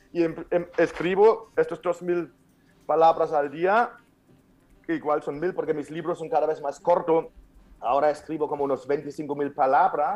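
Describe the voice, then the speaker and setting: A man with a German accent and fairly even intonation. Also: fairly high pitch for a man. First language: German (speaking Spanish). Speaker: author and speaker. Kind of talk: interview. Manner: halting.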